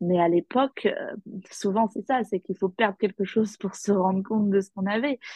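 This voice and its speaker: A somewhat breathy woman of medium pitch speaks at a moderate pace with fairly even intonation. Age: 30s. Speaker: primary school teacher and small business owner. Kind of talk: personal testimony in interview. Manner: hesitant, many fillers and repetitions.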